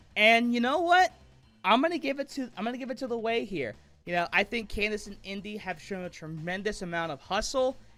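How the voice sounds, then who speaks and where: Music plays in the background as a man projects a raised voice at a high pitch. He moves at a fairly quick pace with very wide pitch swings. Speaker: amateur wrestling commentator. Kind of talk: wrestling commentary predictions.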